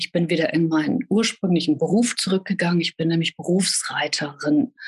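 A somewhat breathy woman's voice, fairly low in pitch, with ordinary pitch variation, a moderate pace, and a dry, close sound with no echo. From northern Germany, Hannover. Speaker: professional horse rider and author. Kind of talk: personal testimony in interview. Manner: hesitant, many filler sounds.

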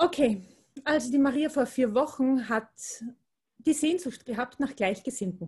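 With an Austrian accent, a woman speaks in a high pitch, leaving long, frequent pauses. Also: fairly slow pace. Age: 40s. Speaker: primary school teacher and energy worker. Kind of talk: casual chat.

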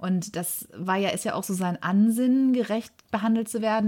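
In a very clean recording against a silent background, a woman speaks. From Germany, Ruhr area (Bochum). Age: 40s. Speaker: podcast co-host, former press officer. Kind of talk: casual storytelling chat.

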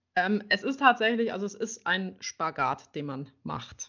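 This woman talks very slowly. Her voice sits at a medium pitch. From Mecklenburg-Vorpommern, near Schwerin. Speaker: riding instructor. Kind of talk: interview.

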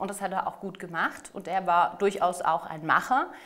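Noticeable background noise runs through the clip. The woman keeps a moderate pace. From southern Germany, Ostalb (Aalen), Baden-Württemberg. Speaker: mayoral candidate, politician. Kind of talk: political interview.

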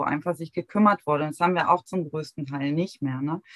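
With fairly even intonation and a fairly low pitch, a woman with an unremarkable speaking voice is recorded in a dry, close sound with no echo. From Heligoland, northern Germany. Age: 40s. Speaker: founder of a grief support platform. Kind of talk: interview conversation.

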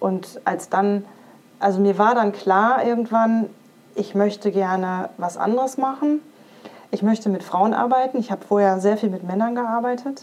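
A woman with a plain, everyday voice speaks at a medium pitch and moderate pace, with ordinary pitch variation. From western Germany (Iserlohn, Sauerland). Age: 40s. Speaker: career coach and breast cancer survivor. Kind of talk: interview testimony.

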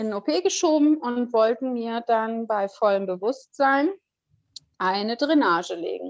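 A woman at a fairly high pitch, very slow in pace yet lively in intonation. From northern Germany, Kiel. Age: 40s. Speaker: near-death experience survivor. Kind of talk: personal testimony interview. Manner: hesitant, many fillers.

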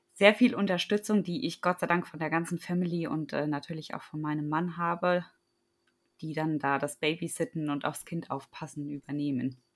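A woman with a plain, everyday voice and fairly low pitch talks at a moderate pace with ordinary pitch variation, on a very clean recording with a silent background. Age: 30s. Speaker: running and fitness coach. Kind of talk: interview.

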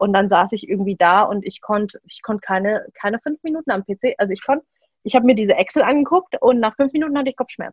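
A woman's fairly high, somewhat breathy voice at a very fast pace, with lively intonation. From Germany. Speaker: trainee psychotherapy practitioner and podcaster. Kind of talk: personal testimony in interview.

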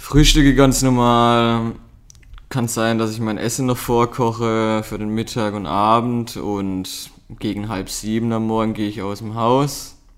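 A man speaks at medium pitch and a fairly slow pace. His intonation stays fairly even. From Baden, southwest Germany. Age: 30s. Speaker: amateur strength athlete, host's partner. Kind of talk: casual chat.

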